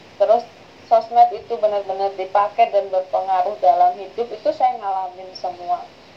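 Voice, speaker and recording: A woman talks at a moderate pace with a medium pitch. Her pitch varies in an ordinary way, and there is noticeable background noise. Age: 30s. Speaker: university lecturer. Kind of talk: interview.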